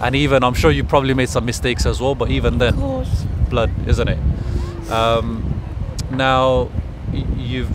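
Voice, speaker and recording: The sound is dry with no echo, though there is noticeable background noise. The pace is moderate. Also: man. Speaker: street interviewer. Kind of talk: interview questions. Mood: gentle, sympathetic. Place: street.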